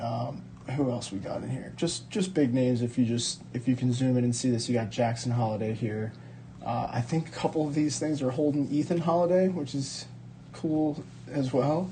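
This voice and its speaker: A man's medium-pitched, somewhat breathy voice with a dark, mellow tone and ordinary pitch variation. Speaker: sports card collector and video creator. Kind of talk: casual card-opening video. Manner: casual, many fillers; fast.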